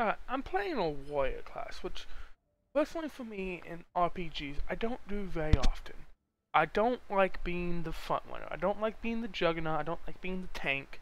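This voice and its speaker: A quiet voice at a moderate pace. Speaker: video game streamer. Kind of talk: casual gameplay commentary. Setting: live stream. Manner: quiet, low volume.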